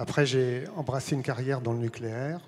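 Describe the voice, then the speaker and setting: A man's dark, mellow, medium-pitched voice at a moderate pace with fairly even intonation, in a very clean recording with a silent background. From France, Sarthe (rural). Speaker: village mayor. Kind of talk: on-stage interview.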